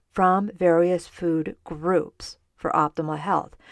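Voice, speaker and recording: Against a quiet background, a woman with an unremarkable speaking voice and medium pitch talks at a fairly slow pace, the sound dry and close with no echo. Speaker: podcast host, dietitian. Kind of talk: solo podcast, educational talk.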